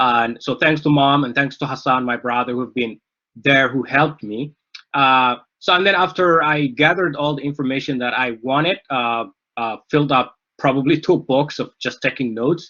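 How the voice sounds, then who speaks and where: Here a man speaks with a Somali accent. He keeps a moderate pace with ordinary pitch variation. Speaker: author. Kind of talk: book discussion talk. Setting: live online event. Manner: halting, many fillers.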